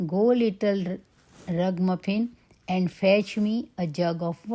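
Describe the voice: What we hear is plain reading aloud.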